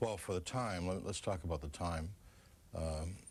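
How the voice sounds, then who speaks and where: In a Boston accent, a man with a very deep, low pitch speaks at a fairly quick pace, with fairly even intonation and a somewhat breathy voice. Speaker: former FBI official. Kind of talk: TV interview.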